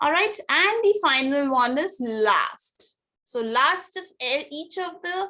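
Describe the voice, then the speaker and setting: A woman's raised, projected voice sits at an extremely high pitch, with a bright, sharp tone. She talks at a very slow pace with very wide pitch swings. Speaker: test prep teacher. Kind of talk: online class lecture.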